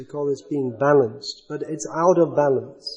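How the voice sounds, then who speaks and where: At a moderate pace, a man speaks in an unremarkable speaking voice with fairly even intonation. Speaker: spiritual teacher. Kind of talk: religious lecture with questions.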